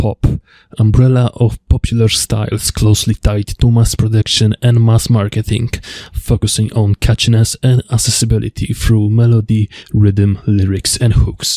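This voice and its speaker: A man with a fairly low pitch and a dark, mellow tone speaks somewhat breathily at a moderate pace, in a monotone, flat intonation with very even loudness and a dry, close sound with no echo. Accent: Polish. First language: Polish. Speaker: music video essayist. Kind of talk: video essay narration.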